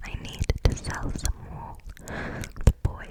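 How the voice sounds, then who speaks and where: Noticeable background noise surrounds a woman's whisper. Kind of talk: ASMR reading, whispered storytime. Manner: whispered, soft.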